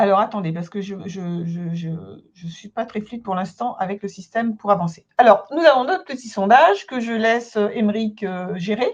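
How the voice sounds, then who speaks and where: A woman with an ordinary speaking voice talks at a moderate pace and medium pitch, her pitch varying in an ordinary way while her loudness swings widely. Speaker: consultant and trainer. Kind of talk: webinar presentation. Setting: online webinar.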